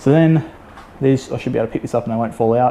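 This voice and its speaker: Talking at a very fast pace, a man with an Australian accent keeps a medium pitch and fairly even intonation. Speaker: car enthusiast youtuber. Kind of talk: tutorial. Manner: halting; casual.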